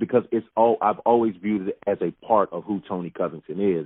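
In an American accent, a man with a fairly low pitch and fairly even intonation talks in an ordinary speaking voice. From North Carolina, Winston-Salem. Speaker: former NFL player and motivational speaker. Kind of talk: casual interview.

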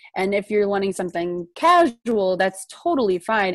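A woman's medium-pitched voice with an American accent, dry and close with no echo. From US Midwest, southern Illinois. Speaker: graduate student. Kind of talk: casual chat.

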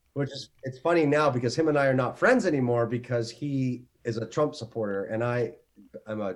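At a moderate pace, a man with an unremarkable speaking voice uses a medium pitch and ordinary pitch variation. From Canada, Ontario. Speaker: actor. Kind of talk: casual chat.

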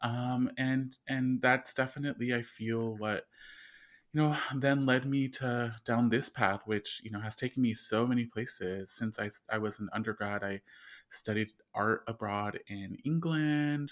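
In a Southern Californian accent, a man speaks at a medium pitch and a fairly slow pace with fairly even intonation. The recording is very clean, with a silent background. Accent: Southern Californian American. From Southern California, Inland Empire. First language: Spanish. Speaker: artist and psychotherapist. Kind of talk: interview.

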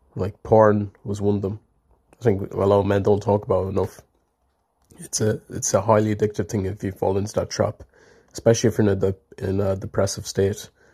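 An Irish accent marks this man's fairly low, somewhat breathy voice, delivered at a fairly quick pace. His intonation is monotone and flat, over a very clean recording with a silent background. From Ireland. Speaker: listener call-in participant. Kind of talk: casual chat.

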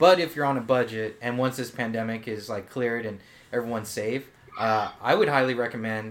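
With an American accent, a man talks at a moderate pace and medium pitch, showing ordinary pitch variation in an ordinary speaking voice. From Japanese American, family from Oahu. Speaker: podcast co-host, salesperson. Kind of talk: casual chat.

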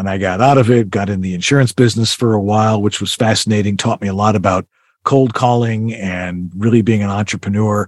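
An unremarkable speaking voice: a man with a fairly low pitch, fairly even intonation and a fairly quick pace. The recording is very clean, with a silent background. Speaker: voiceover narrator and studio consultant. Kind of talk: casual interview.

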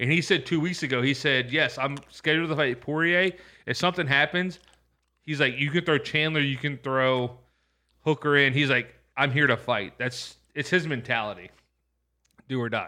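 A man's fairly high voice at a moderate pace, with ordinary pitch variation and long, frequent pauses. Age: 30s. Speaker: podcast co-host. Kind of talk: casual chat.

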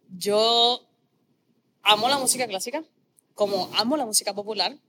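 The woman's voice has a bright, sharp tone. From Puerto Rico, Corozal. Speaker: opera singer. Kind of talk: casual interview chat.

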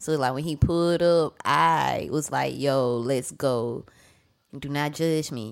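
At a very slow pace with ordinary pitch variation, the voice is heard in a very clean recording against a silent background. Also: woman, very deep, low pitch for a woman. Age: 30s. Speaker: podcast guest. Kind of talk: casual chat. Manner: laughs often.

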